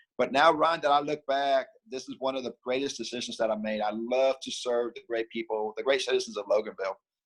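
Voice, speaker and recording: The sound is dry and close, with no echo. A man speaks very fast at a medium pitch. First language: Spanish. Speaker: mayor. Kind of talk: interview. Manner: upbeat, friendly.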